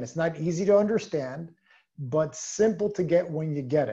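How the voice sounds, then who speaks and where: Over a quiet background, a man's voice has a dark, mellow tone and ordinary pitch variation. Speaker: sales team leader. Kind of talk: motivational training talk. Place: home room. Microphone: video call.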